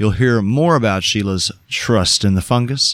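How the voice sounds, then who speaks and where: Speaking at a moderate pace with lively intonation, a man has a plain, everyday voice with a fairly low pitch. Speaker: podcast host. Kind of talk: interview. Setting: Jamaica.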